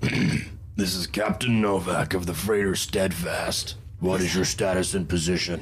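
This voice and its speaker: A gruff, put-on character voice at a moderate pace against clear background noise. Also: man, very deep, low pitch for a man. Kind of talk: curt, official.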